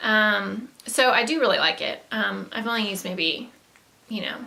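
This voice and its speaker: Amid noticeable background noise and audible room echo, a woman with a Southern US accent speaks in a fairly high pitch. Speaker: beauty vlogger. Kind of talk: casual product haul talk. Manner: hesitant, many fillers.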